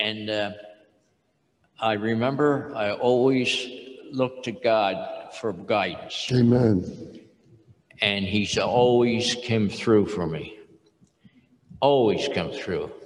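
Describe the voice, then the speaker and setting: A man's medium-pitched voice at a very slow pace, with ordinary pitch variation, long, frequent pauses and audible room echo. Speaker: retired industrial engineer and churchman. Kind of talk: testimony interview. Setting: stage with audience.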